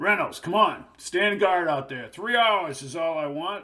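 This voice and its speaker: A man does a put-on character voice, gruff and raspy, with a high pitch. He keeps a moderate pace and ordinary pitch variation. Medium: read story. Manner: blunt, slangy, commanding.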